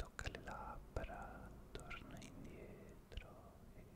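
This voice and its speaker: In a whisper, a man is talking. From Italy. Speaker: ASMR content creator. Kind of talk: ASMR visual trigger session. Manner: soft-spoken, slow. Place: home room. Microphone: studio mic.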